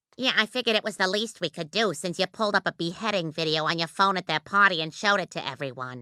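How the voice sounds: A woman does a cartoonish character voice at medium pitch, racing along very fast with hardly any pauses in a dry, close sound with no echo.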